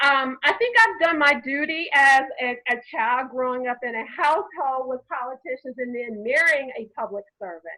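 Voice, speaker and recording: A woman with a high pitch projects a raised voice at a moderate pace, bright and sharp in tone, with lively intonation and hardly any pauses. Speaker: lawyer. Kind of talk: panel discussion. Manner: loud.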